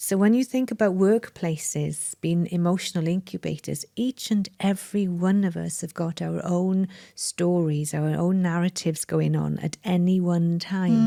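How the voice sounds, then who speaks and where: With a Welsh accent, a woman speaks in a dark, mellow tone at a fairly low pitch, her intonation fairly even and the sound dry and close with no echo. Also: moderate pace, hardly any pauses. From Wales. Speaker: mind management coach. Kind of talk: interview conversation.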